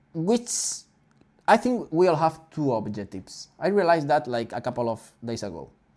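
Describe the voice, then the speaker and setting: In a Spanish accent, a man speaks at a moderate pace with fairly high pitch and very wide pitch swings. The recording is very clean with a silent background. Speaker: podcast host. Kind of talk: casual chat. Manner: halting.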